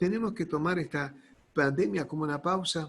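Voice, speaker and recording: A man with a Rioplatense accent talks in a fairly high pitch. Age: 60s. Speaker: pastor. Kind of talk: sermon. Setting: online church service. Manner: halting.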